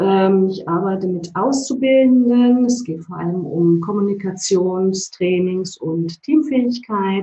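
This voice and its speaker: A woman speaks very slowly with hardly any pauses, at medium pitch. Her voice is somewhat breathy, with ordinary pitch variation. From East Germany. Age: 40s. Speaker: change consultant and trainer. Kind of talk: interview. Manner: hesitant, many filler sounds.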